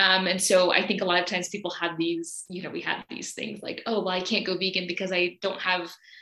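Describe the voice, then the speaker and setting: At a fairly quick pace with hardly any pauses, a woman speaks in a flat monotone at a medium pitch over noticeable background noise. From US South, Alabama. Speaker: vegan coach. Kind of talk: casual interview chat.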